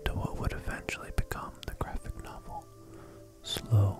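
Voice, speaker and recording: Whispering in a calm tone at a fairly slow pace, the voice is heard over music in the background. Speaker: ASMR channel host. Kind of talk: ASMR sleep history lesson, soft-spoken narration. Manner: soft-spoken, calm.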